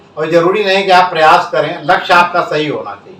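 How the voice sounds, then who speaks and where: Over noticeable background noise, a man with a high-pitched voice talks in fairly even intonation. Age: 70s. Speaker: social worker and former politician. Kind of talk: interview. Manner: formal.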